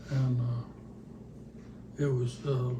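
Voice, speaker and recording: A man of medium pitch with an American accent speaks in a monotone, flat intonation, with noticeable background noise and audible room echo. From Northern California. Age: 80s+. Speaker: elderly man telling his life story. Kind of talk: oral history interview. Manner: halting.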